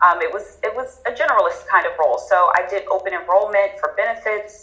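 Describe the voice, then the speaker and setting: With music playing in the background, a woman speaks at a fairly quick pace in a Philadelphia accent. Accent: Philadelphia American English. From Philadelphia, Pennsylvania, USA. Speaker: HR talent and organizational development specialist. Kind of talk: interview answer.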